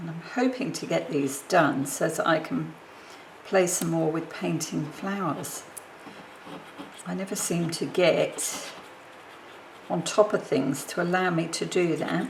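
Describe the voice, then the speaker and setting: The speech moves at a fairly slow pace with long, frequent pauses, set against noticeable background noise. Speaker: papercraft video maker. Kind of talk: crafting tutorial. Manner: mumbling.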